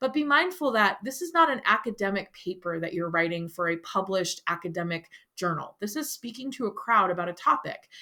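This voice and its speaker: The voice has a bright, sharp tone and lively intonation at a fairly quick pace. It comes through in a very clean recording with a silent background. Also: woman. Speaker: high school teacher. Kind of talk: recorded lecture. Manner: fast.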